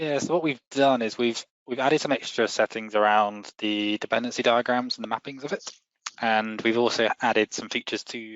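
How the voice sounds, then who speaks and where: A man speaks fairly quickly with a British accent, his medium-pitched voice showing ordinary pitch variation. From UK. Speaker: software company representative. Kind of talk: casual tech discussion.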